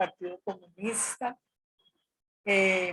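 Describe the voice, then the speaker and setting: The speaker is a woman. She talks at a very slow pace. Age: 70s. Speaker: retired social worker, former student leader. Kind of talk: interview testimony. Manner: speaks louder after request.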